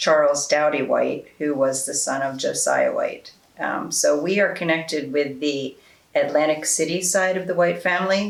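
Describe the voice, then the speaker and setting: Amid noticeable background noise, a woman with an American accent speaks at a moderate pace in a very deep, low pitch with fairly even intonation. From New Jersey, Haddonfield. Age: 60s. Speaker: oral history interviewee. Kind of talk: oral history interview. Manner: halting, many fillers.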